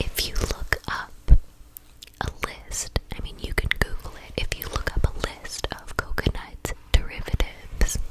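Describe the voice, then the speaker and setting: Whispering in an American accent comes through over noticeable background noise. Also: fairly slow pace, hardly any pauses. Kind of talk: ASMR whispered storytime ramble. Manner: whispered.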